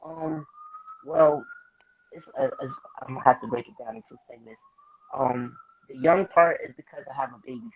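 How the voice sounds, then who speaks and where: At a moderate pace broken by long, frequent pauses, a man with a New York accent talks with big swings in loudness. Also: ordinary pitch variation. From New York, the Bronx. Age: 20s. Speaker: rapper. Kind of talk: interview. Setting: live-streamed video call.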